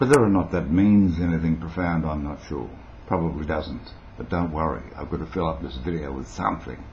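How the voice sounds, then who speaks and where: A man with a very deep, low pitch and vocal fry talks at a fairly quick pace in a relaxed tone with ordinary pitch variation. Audible room echo surrounds his voice. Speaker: vlogger, former radio broadcaster. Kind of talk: casual tutorial to camera. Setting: home video recorded on a new camera. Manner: rambling, relaxed, with many fillers.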